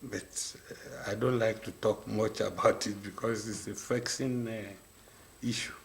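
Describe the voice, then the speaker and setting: A man speaks at a medium pitch in a flat monotone. His pace is fairly slow, with hardly any pauses. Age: 80s+. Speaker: maritime industry veteran. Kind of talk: radio interview.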